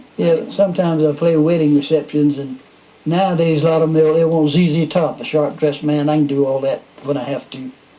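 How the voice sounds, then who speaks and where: With a Southern US accent and a fairly high pitch, a man talks at a fairly quick pace over noticeable background noise. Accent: Southern US (Georgia). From US South. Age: 70s. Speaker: musician. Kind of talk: casual chat.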